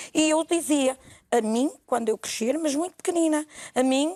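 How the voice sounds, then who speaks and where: The voice has a dark, mellow tone and lively intonation at a moderate pace. The sound is dry and close with no echo, and the recording is very clean over a silent background. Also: woman. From northern Portugal, Felgueiras area. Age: 60s. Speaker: TV interview guest, real estate agent. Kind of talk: TV talk show interview.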